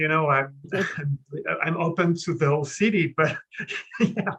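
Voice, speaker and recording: A man with a French accent, high-pitched, bright and sharp in tone, at a fairly slow pace. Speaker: creative artist. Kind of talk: interview. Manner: halting.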